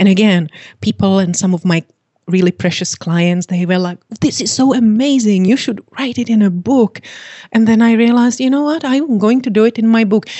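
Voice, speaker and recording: Somewhat breathy and fairly high, a woman's voice moves at a moderate pace with ordinary pitch variation. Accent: Czech. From Czechoslovakia. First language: Czech. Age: 50s. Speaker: fitness coach and author. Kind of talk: interview. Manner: giggly, cheerful.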